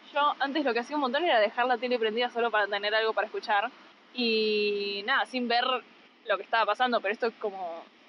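In an unremarkable speaking voice, a woman talks at a moderate pace. Her pitch sits fairly high, with ordinary variation. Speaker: podcast co-host. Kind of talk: casual chat. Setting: on the beach, phone recorder.

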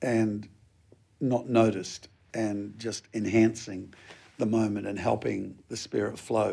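A man with a New Zealand accent, dark and mellow in tone, flat and monotone, at a fairly slow pace with long, frequent pauses. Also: fairly low pitch for a man. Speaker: pastor. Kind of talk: interview.

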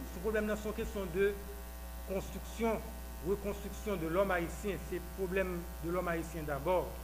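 Room echo is audible here. A man talks fairly slowly. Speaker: political party official. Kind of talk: speech. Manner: halting.

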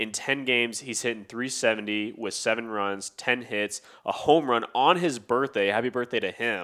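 Here a man speaks at a medium pitch and moderate pace. The recording is very clean, with a silent background. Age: 20s. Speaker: baseball podcast co-host. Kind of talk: casual chat.

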